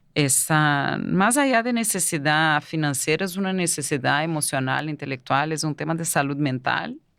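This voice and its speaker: With a Portuguese accent, a woman speaks in a very deep, low voice at a moderate pace, with hardly any pauses. Her pitch variation is ordinary, and the recording is very clean with a silent background. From Brazil. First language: Portuguese (speaking Spanish). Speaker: migrant entrepreneur. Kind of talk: interview. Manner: halting.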